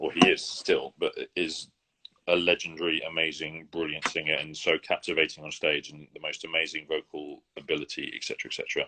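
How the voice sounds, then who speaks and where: Big swings in loudness mark a man speaking at a fairly quick pace in a dry, close sound with no echo. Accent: English. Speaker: opera singer. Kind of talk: interview. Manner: fast; halting.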